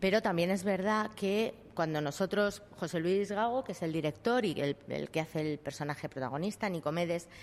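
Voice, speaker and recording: The very clean recording with a silent background carries speech with ordinary pitch variation. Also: woman. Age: 50s. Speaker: actress. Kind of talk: interview.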